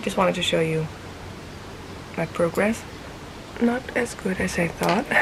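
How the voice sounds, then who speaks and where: Over noticeable background noise, a woman with a fairly low pitch talks at a fairly slow pace, using ordinary pitch variation and long, frequent pauses. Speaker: knitting vlogger. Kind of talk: casual vlog chat. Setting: outdoors.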